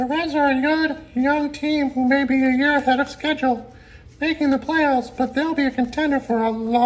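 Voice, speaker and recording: A female-sounding cartoonish character voice, high in pitch, over light background noise. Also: moderate pace. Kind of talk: sports talk show banter. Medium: puppet.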